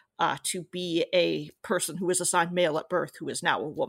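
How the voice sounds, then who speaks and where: With an American accent and vocal fry, the speaker talks at a moderate pace with fairly even intonation in a dry, close sound with no echo on a very clean recording with a silent background. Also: woman. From US. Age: 30s. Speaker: writer. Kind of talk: interview.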